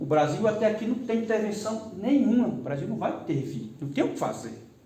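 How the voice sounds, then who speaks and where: Through audible room echo and noticeable background noise, a man speaks at a high pitch with very wide pitch swings. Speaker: law exam prep teacher. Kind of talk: lecture. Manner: slow; animated.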